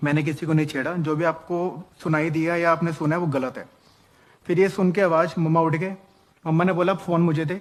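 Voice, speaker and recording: This man's voice sits high in pitch, delivered at a moderate pace with monotone, flat intonation. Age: 30s. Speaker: man recounting false harassment accusation. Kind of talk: personal testimony.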